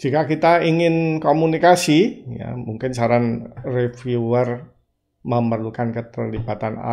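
Fairly slow speech from a man, with pitch varying in an ordinary way. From Indonesia. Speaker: journal software tutor. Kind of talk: screen-recorded tutorial. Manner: hesitant, frequent fillers. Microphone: webcam.

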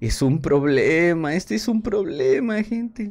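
Animated male voice with very wide pitch swings. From Mexico, Coatzacoalcos (Veracruz). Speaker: gaming streamer. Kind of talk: live stream commentary. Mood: thoughtful, slightly worried. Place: home room.

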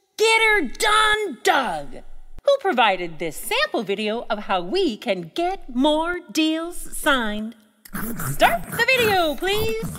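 A woman does a cartoonish character voice at a high pitch. She speaks at a very slow pace with very wide pitch swings. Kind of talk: character dialogue.

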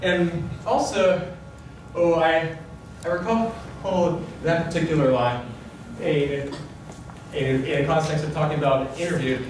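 Long, frequent pauses break up the speech. Audible room echo and light background noise are present. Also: man, fairly high pitch for a man, ordinary pitch variation, fairly slow pace. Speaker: presenter. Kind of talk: live presentation talk to audience. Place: hall.

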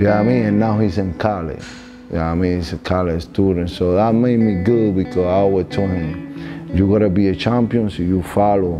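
Clear music plays in the background as a man with a very deep, low pitch talks at a fairly quick pace. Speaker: trainer. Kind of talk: interview answer. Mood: proud, warm. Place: gym. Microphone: lapel.

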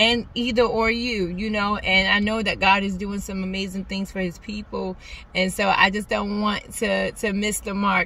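The sound is dry, with no echo. A woman speaks at a moderate pace in a monotone, flat intonation. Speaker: faith vlogger. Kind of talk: casual vlog chat. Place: car. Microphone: phone near.

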